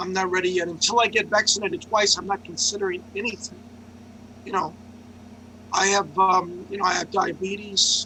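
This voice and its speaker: Amid noticeable background noise, a man with a New York accent uses a raised, projected voice at a high pitch, with fairly even intonation and long, frequent pauses. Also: fairly quick pace. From New York City. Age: 60s. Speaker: journalist and open mic organizer. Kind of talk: casual chat. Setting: video call.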